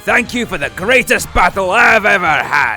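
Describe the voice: Putting on a character voice, a man speaks at a high pitch with big pitch swings and a bright, sharp tone, faint music playing in the background. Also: moderate pace.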